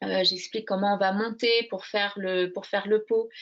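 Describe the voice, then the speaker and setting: A woman talks with fairly even intonation. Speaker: crochet workshop leader. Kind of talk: interview. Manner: hesitant, many fillers; slow, soft.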